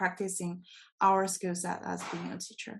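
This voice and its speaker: A woman speaks with a non-native accent at a medium pitch. The background is quiet. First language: not English. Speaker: TESOL program alumnus. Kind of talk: panel discussion. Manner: halting, many self-corrections.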